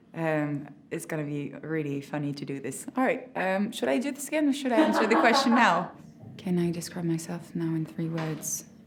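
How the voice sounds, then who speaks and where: A woman at a moderate pace, fairly low in pitch with very wide pitch swings, amid audible room echo and noticeable background noise. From France. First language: French. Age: 20s. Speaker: drama school graduate actor. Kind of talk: interview. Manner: halting.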